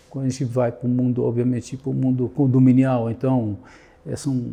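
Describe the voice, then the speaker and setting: Speaking with an Israeli accent, a man uses a medium pitch and a dark, mellow tone, somewhat breathy, at a moderate pace. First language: Hebrew (speaking Portuguese). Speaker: security consultant. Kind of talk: interview. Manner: halting.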